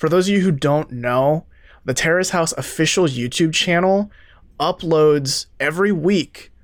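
In a very clean recording with a silent background, a man with an ordinary speaking voice speaks at a fairly slow pace, using a fairly high pitch and ordinary pitch variation. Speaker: podcast host. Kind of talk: casual chat.

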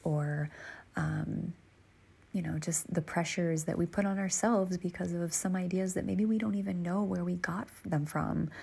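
A woman speaks at a fairly low pitch with a dark, mellow tone and a slightly husky edge. Her intonation is fairly even, and vocal fry comes through.

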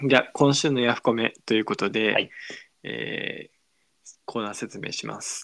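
In a very clean recording with a silent background, a man with a medium pitch and vocal fry speaks at a moderate pace, with big swings in loudness. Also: fairly even intonation. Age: 20s. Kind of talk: casual chat. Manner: playful.

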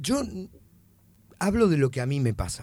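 Somewhat breathy and dark, mellow in tone, a man speaks at a moderate pace in a Rioplatense accent. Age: 40s. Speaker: comedian. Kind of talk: casual chat.

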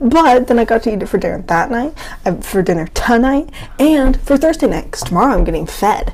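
A woman's high-pitched voice with very wide pitch swings, over noticeable background noise. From New England. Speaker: podcast co-host. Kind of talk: casual chat.

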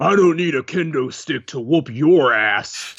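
A man performs a put-on character voice. It sits at a fairly high pitch and moves at a moderate pace. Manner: yelling.

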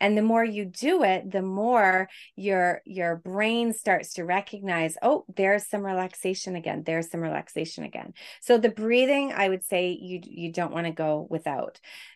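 A woman speaks in a normal speaking voice at medium pitch, with ordinary pitch variation, a moderate pace and a quiet background. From Quebec, Canada. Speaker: stress and burnout coach, speech pathologist. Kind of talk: podcast interview.

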